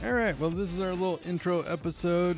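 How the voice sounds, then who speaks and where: Speech in an American accent, recorded very cleanly against a silent background. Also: man. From Montana. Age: 40s. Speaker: podcast host, comedian. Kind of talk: casual chat. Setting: home recording, sharing one mic.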